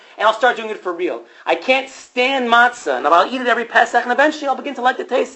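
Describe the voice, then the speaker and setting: This man speaks with an extremely high pitch, an animated tone and lively intonation, with noticeable background noise behind him. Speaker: rabbi and teacher. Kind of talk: lecture. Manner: fast.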